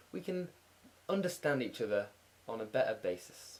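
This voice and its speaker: This man talks at a fairly quick pace. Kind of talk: casual talk to camera. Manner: droney in places.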